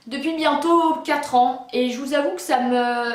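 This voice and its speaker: Noticeable background noise and audible room echo surround a woman's high-pitched voice with ordinary pitch variation. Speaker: YouTuber. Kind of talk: personal story vlog. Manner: stuttering, halting.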